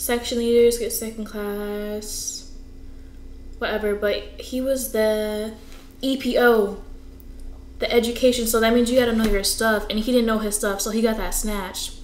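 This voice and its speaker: Amid audible room echo and light background noise, the speaker talks at a moderate pace in a monotone, flat way with long, frequent pauses. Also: woman, fairly high pitch for a woman. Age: 20s. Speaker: navy recruit training graduate. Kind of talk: casual talk to camera. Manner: chatty, conversational. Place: home room.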